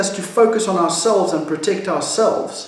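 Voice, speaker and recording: Audible room echo and noticeable background noise are present. The man's voice sits at a high pitch. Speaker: pastor. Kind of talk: devotional teaching.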